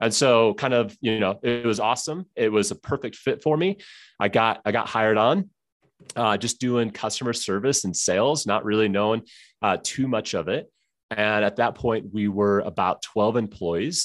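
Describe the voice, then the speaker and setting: At a moderate pace, a man with an ordinary speaking voice talks in a medium pitch, with ordinary pitch variation and very even loudness. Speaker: former pastor, marketing director. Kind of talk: interview conversation.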